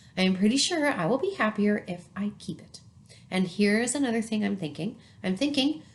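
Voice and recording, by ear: A natural voice is heard reading aloud.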